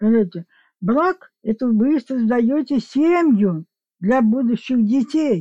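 Very slowly, a woman speaks in a high voice with a dark, mellow tone, lively intonation and very even loudness. The sound is dry and close, with no echo. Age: 80s+. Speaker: grandmother, guest. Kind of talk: casual chat, interview.

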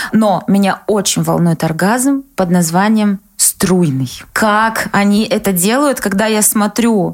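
A woman at a medium pitch, speaking at a very slow pace. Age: 20s. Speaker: podcast co-host. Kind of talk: casual chat.

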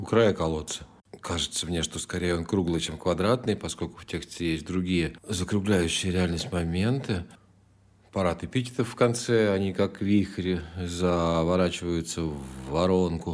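In a very clean recording with a silent background, a man with a very deep, low pitch talks at a moderate pace and uses ordinary pitch variation. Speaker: podcast host and literary commentator. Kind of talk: reading and commenting on poems.

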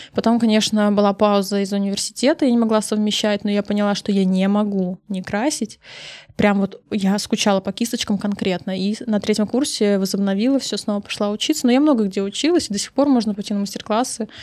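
A woman's medium-pitched voice, a normal speaking voice with ordinary pitch variation, at a fairly quick pace. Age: 30s. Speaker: makeup artist and beauty blogger. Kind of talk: casual interview chat.

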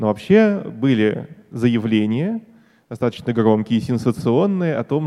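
Medium in pitch, this man's voice carries a dark, mellow tone. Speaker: biologist, debate opponent. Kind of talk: stage debate Q&A. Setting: stage with audience.

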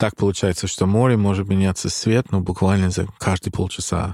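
A man's very deep, low voice with a dark, mellow tone, an English accent and fairly even intonation, in a very clean recording with a silent background and a dry, close sound free of echo. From Ireland, Dublin. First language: English (speaking Russian). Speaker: musician. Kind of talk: casual chat.

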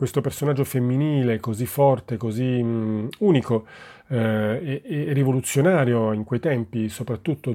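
On a very clean recording with a silent background, a man talks at a moderate pace in a dark, mellow tone, medium in pitch with ordinary pitch variation. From Italy, Naples. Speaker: theatre director. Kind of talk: interview. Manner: halting, many fillers.

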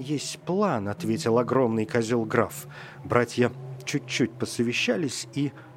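What we hear is plain reading aloud.

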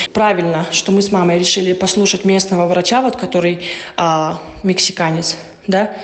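Noticeable background noise behind a woman's medium pitch. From Russia. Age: 20s. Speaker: interviewee, mother. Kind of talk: interview.

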